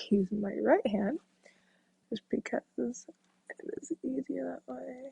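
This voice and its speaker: A dark, mellow tone from a woman, medium in pitch and somewhat breathy. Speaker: makeup vlogger. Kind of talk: makeup tutorial. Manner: casual, hesitant with fillers.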